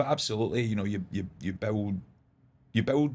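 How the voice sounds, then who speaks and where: A man talks in a strong Glasgow accent. The recording is very clean, with a silent background. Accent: strong Glaswegian Scottish. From Scotland, Glasgow. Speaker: golf club manager, former golf coach. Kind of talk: podcast interview. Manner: hesitant, repeats words.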